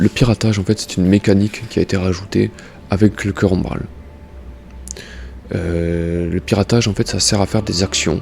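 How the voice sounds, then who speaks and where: A man with a very deep, low pitch speaks at a moderate pace with ordinary pitch variation and long, frequent pauses, against noticeable background noise. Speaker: gaming YouTuber. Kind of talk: game tutorial. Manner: soft-spoken; halting, many fillers.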